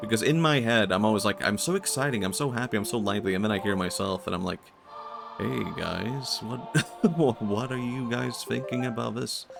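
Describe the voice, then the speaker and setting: Music plays in the background as a man speaks. His pace is fairly quick and his intonation lively. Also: medium pitch for a man. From Sweden. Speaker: vtuber streamer. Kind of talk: casual chat while gaming.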